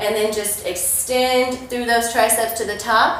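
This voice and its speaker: Over noticeable background noise and audible room echo, a woman talks at a high pitch with an American accent. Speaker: fitness coach. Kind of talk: workout tutorial. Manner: energetic.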